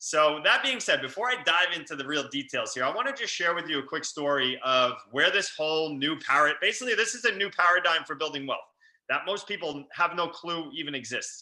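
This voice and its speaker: Speaking in a New York accent, a man delivers fairly high-pitched lines with lively intonation at a fairly quick pace. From New York, Long Island. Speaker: real estate investor. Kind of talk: webinar presentation. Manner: fast; animated.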